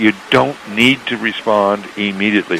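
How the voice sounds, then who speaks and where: A Canadian accent over noticeable background noise. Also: man. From Canada. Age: 60s. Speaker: author and entrepreneur. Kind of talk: radio interview. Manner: repeats words often, slightly halting.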